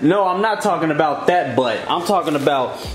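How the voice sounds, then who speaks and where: A man's high-pitched voice amid light background noise and audible room echo. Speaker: vlogger filming his partner. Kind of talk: casual vlog chat. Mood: playful teasing. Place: kitchen. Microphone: phone near.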